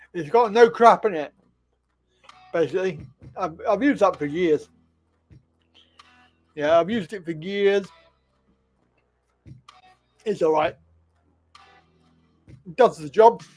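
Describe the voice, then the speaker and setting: A man with a high voice talks at a fairly slow pace, leaving long, frequent pauses. His loudness swings widely and his pitch varies in an ordinary way, with music playing behind him. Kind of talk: casual, conversational.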